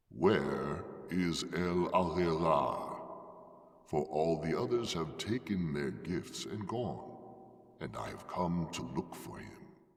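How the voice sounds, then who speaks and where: In a put-on character voice, a man talks at a very slow pace with a very deep, low pitch, and a clear echo surrounds his words. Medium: read story. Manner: grave, measured.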